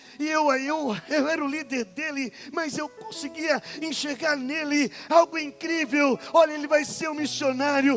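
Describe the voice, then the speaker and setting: A man with an extremely high pitch, ordinary pitch variation and a fairly slow pace, music in the background. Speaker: pastor. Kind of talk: sermon.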